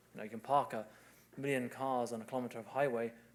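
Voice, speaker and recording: Very fast speech in a British accent, with fairly even intonation. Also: man. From UK. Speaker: civil engineer. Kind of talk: conference presentation.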